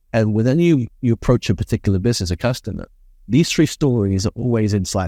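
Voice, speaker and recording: A man at a very fast pace, dark and mellow in tone, medium in pitch and very even in loudness, in a very clean recording with a silent background and a dry, close sound with no echo. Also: ordinary pitch variation. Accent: British. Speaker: business consultant. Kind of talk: interview. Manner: articulate, measured.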